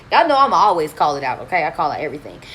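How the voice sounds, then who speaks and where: Over noticeable background noise, a woman talks at a very fast pace in an animated tone with lively intonation. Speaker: credit repair coach. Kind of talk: live stream Q&A. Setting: hotel room live stream. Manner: loud.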